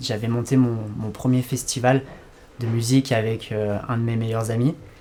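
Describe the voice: The speaker is a man. He keeps his intonation fairly even. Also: slightly mellow tone.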